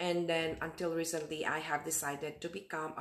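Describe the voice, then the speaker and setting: This woman's voice sits at a very deep, low pitch. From Philippines. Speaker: registered nurse and digital marketer. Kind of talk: casual talk to camera. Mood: warm, friendly. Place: home room. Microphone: webcam.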